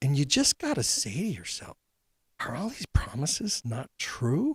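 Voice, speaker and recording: Somewhat breathy, with lively intonation and a moderate pace, a man is heard in a very clean recording with a silent background and a dry, close sound with no echo. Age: 60s. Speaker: podcast host. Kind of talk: interview conversation.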